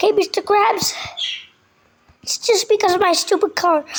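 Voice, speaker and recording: Using a put-on character voice, a woman speaks at a moderate pace with extremely high pitch. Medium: machinima. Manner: excitable, nervous.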